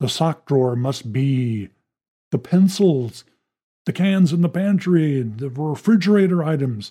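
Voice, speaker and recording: At a fairly slow pace, a man speaks in a fairly high, dark, mellow voice that is somewhat breathy, with lively intonation. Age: 60s. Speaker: podcast host. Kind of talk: scripted monologue and interview. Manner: hesitant with fillers.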